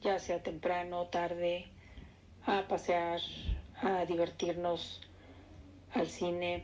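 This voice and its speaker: A woman with a central Mexican accent speaks at a very slow pace in a monotone, flat intonation, her loudness very even and her speech broken by long, frequent pauses. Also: fairly low pitch for a woman. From Mexico City. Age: 60s. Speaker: interviewee recalling 1968. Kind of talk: oral history interview.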